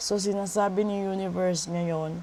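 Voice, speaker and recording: The voice has a dark, mellow tone and moves at a very slow pace in a monotone, flat delivery. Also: woman. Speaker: tarot reader and spiritual healer. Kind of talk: tarot reading video.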